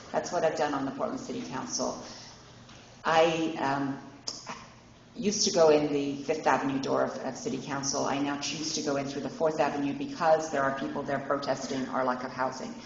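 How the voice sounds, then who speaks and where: At a fairly quick pace, a woman with a very deep, low pitch and ordinary pitch variation is heard through audible room echo and noticeable background noise. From England. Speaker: city council candidate. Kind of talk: candidate forum speech. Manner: some false starts and self-corrections.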